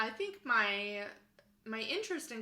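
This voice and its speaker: Very slowly and with audible room echo, a woman with an American accent speaks at a fairly high pitch. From Minnesota, US Midwest. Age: 20s. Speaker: graduate student in family therapy. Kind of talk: personal introduction monologue. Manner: casual with frequent fillers.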